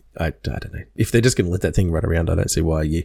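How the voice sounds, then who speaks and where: In a dark, mellow tone with vocal fry, a man with a very deep, low pitch speaks very fast. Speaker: podcast co-host. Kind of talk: casual chat.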